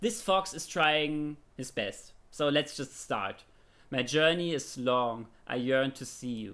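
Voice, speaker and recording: Very slow delivery in a German accent, with a bright, sharp tone and lively intonation. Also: man, fairly high pitch for a man. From Germany. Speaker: streamer. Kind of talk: casual chat; reading aloud. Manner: halting.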